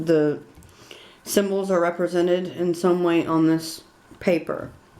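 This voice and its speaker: Fairly low pitch marks this woman's voice. Her intonation stays fairly even. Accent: Southern US. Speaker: witchcraft tutorial creator. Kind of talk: tutorial. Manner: casual, hesitant with fillers.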